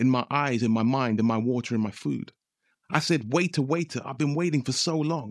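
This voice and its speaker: A man speaks in a normal speaking voice at medium pitch with ordinary pitch variation and a moderate pace, the very clean recording silent in the background and dry and close with no echo. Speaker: poet. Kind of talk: spoken word poem, rhythmic rhymed performance with punchline twists. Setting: radio studio. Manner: measured, rhythmic delivery building from playful jokes to sober social commentary.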